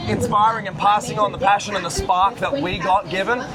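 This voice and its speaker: Music plays in the background as a man with an Australian accent talks at a moderate pace. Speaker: airshow pilot. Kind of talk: interview.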